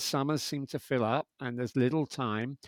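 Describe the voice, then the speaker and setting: A man with a London accent speaks fairly quickly at a fairly high pitch with ordinary pitch variation. The recording is very clean, with a silent background and a dry, close sound with no echo. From London, England. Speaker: podcast host. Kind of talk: interview chat.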